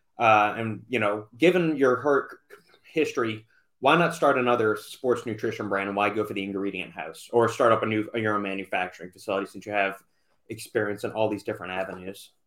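Over a very clean recording with a silent background, a man talks at a fairly quick pace in an ordinary speaking voice, fairly low in pitch with ordinary pitch variation. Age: 30s. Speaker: podcast host. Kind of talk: casual interview.

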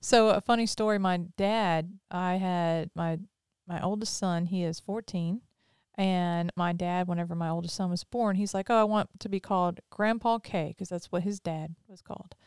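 Recorded very cleanly with a silent background and a dry, close sound with no echo, a woman of medium pitch talks at a moderate pace with fairly even intonation. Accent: slight Southern US. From Mississippi; Pearl, Mississippi. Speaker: podcast host. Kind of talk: casual interview chat.

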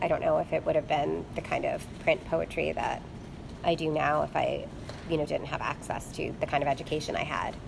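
Noticeable background noise accompanies speech delivered fairly quickly. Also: woman. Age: 30s. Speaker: poet and English lecturer. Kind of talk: interview.

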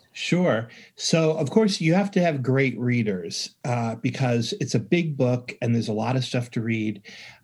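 In a very clean recording with a silent background, a man with an American accent speaks at a fairly slow pace with hardly any pauses, his somewhat breathy voice at a medium pitch and his intonation lively. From rural upstate New York. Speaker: music education professor and author. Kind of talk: interview.

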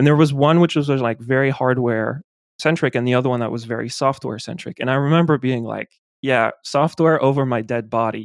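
A man with a French accent, medium pitch, fairly even intonation, and a fairly quick pace, in a dry, close sound with no echo. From France. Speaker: geospatial data scientist and podcaster. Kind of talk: casual interview chat.

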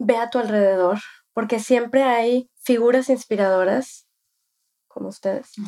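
Her voice has a dark, mellow tone and a high pitch with ordinary variation. The woman speaks at a fairly slow pace with long, frequent pauses. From Mexico. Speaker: lawyer. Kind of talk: interview. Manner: halting, with repetitions.

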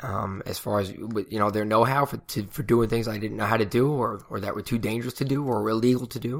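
A man mumbles at a very fast pace with hardly any pauses, his medium pitch following a fairly even intonation. The recording is very clean, with a silent background. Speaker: podcast host and float center owner. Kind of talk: casual solo podcast monologue. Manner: hesitant, many fillers and mumbles.

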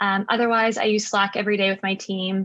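A woman at a medium pitch talks fairly quickly in a monotone, flat intonation, with a dry, close sound and no echo. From South Africa and Canada. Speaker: entrepreneur. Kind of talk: interview.

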